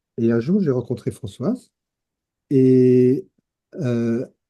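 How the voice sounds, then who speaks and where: This man's voice has a dark, mellow tone at a medium pitch. His intonation is lively. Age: 70s. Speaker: retired teacher and peer-support founder. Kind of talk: interview. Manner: hesitant, many fillers.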